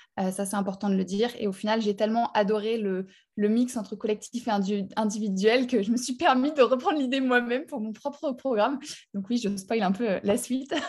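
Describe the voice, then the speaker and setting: Her voice is somewhat breathy and fairly high in pitch. The woman talks at a fairly quick pace with ordinary pitch variation. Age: 20s. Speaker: life purpose coach. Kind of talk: casual chat.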